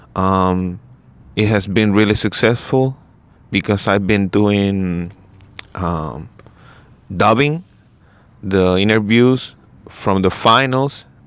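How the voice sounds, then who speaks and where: With a Spanish accent, a man speaks at a very slow pace and a fairly low pitch, his pitch varying in an ordinary way and broken by long, frequent pauses. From Chile. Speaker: basketball podcaster. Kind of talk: casual solo podcast talk. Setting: first podcast in English, solo recording. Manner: halting, many fillers and restarts.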